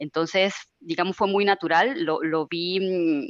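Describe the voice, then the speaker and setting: The speaker has a Venezuelan accent, and the sound is dry and close with no echo. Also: woman. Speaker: IT service manager. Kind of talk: webinar panel discussion. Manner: hesitant, many fillers.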